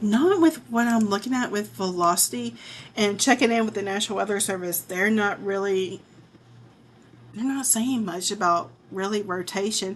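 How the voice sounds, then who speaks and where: With an American accent, a woman talks at a moderate pace in an ordinary speaking voice, her pitch medium and its variation ordinary. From southern Illinois (Murphysboro). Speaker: weather streamer. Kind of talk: live weather commentary.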